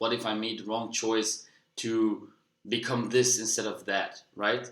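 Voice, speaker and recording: In a Dutch accent, a man speaks at a medium pitch. His intonation is monotone and flat. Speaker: personal development vlogger. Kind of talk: casual monologue.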